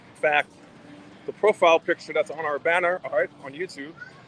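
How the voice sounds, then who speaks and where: Noticeable background noise behind a man with an American accent, talking at a moderate pace. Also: long, frequent pauses. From Brooklyn, New York. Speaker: travel vlogger. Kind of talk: live stream walk-and-talk. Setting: outdoors at entertainment district. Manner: casual, conversational.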